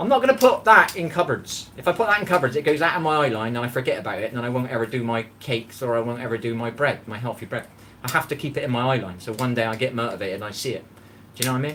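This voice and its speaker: A man's medium-pitched, animated voice at a very fast pace, with ordinary pitch variation and noticeable background noise. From England. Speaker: cooking livestreamer. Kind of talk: casual live-stream chat.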